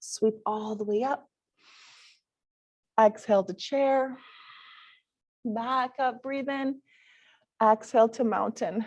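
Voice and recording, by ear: A woman speaks at a slow pace with fairly high pitch, ordinary pitch variation, a slightly mellow tone, and long, frequent pauses.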